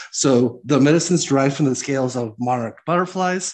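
Over a quiet background, a man talks at a fairly quick pace in a medium pitch, with a plain, everyday voice. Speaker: podcast host. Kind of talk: casual podcast chat.

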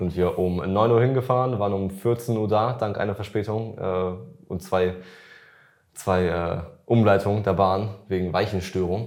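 A man with a fairly low pitch speaks at a fairly slow pace. His intonation is fairly even, and audible room echo surrounds it. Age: 20s. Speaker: fitness influencer and podcast host. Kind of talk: casual chat.

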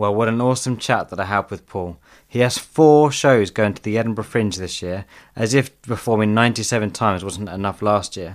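This man has an unremarkable speaking voice with fairly low pitch and ordinary pitch variation, at a moderate pace. The recording is very clean, with a silent background. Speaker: comedian and podcast host. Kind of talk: casual interview.

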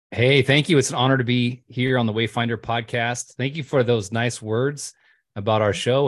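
An unremarkable speaking voice with an American accent moves at a moderate pace over a quiet background. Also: man. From California. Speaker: running podcast host and former pastor. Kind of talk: interview.

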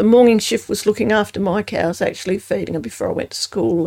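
Her voice has a dark, mellow tone with vocal fry, as a woman speaks with ordinary pitch variation. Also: dry, close sound with no echo. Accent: Australian. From South Australia, Adelaide Hills. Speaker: former newspaper worker. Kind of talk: interview. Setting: studio.

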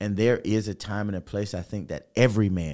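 Over a quiet background, a man with a very deep, low pitch and a dark, mellow tone speaks at a moderate pace with ordinary pitch variation. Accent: American. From Atlanta, US South. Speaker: podcast host and entrepreneur. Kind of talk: casual interview chat. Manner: animated.

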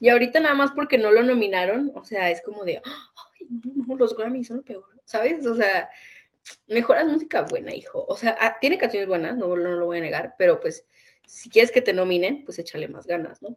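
With an unremarkable speaking voice, a woman talks at a fairly high pitch, her intonation lively and her loudness swinging widely. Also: moderate pace. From northern Mexico. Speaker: podcast co-host. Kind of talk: casual chat.

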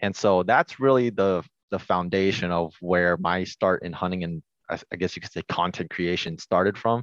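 An ordinary speaking voice from a man with an American accent, fairly quick pace, ordinary pitch variation, dry, close sound with no echo, and a quiet background. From Washington State, US. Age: 20s. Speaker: hunting YouTube creator. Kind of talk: casual interview chat.

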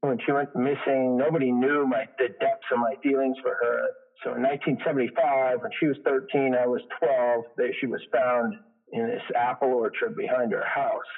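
Here a man speaks with an unremarkable speaking voice at a medium pitch. His pace is moderate and his pitch varies in an ordinary way. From Quebec, Canada (small town east of Montreal). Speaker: interview guest. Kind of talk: interview.

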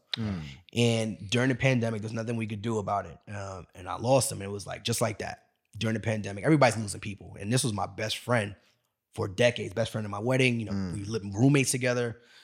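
A man with a Brooklyn accent talks at a very fast pace and fairly low pitch. His intonation stays fairly even, but his loudness swings widely. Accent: Brooklyn New York. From Brooklyn, New York. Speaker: entrepreneur and podcaster. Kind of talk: casual interview conversation. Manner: hesitant, repeats words.

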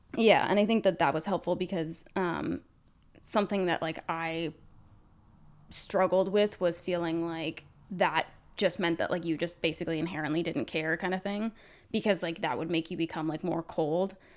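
Fairly low-pitched female voice, a plain, everyday voice with fairly even intonation, on a very clean recording with a silent background. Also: moderate pace. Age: 20s. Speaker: podcast host, beauty influencer. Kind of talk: casual chat. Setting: studio, on camera.

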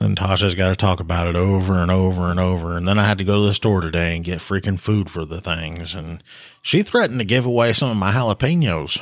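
With a Southern US accent, a man speaks at a very fast pace with hardly any pauses in a very deep, low pitch. The recording is very clean with a silent background. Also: ordinary pitch variation. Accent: US South. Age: 40s. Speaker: police officer and podcast co-host. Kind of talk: casual chat.

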